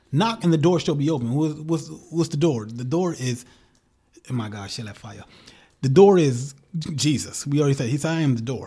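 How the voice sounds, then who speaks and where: With a dark, mellow tone and a somewhat breathy quality, a man speaks fairly quickly in a fairly high voice, his intonation lively and his loudness swinging widely. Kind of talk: casual chat.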